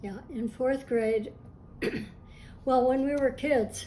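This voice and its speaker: A somewhat breathy woman's voice, dark and mellow in tone, with fairly even intonation and audible room echo. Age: old. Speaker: artist. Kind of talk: interview answers.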